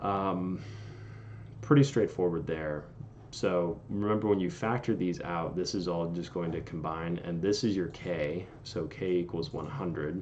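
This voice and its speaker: Fairly slow speech with ordinary pitch variation and audible room echo. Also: man, very deep, low pitch for a man. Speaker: engineering tutor on video channel. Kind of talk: tutorial.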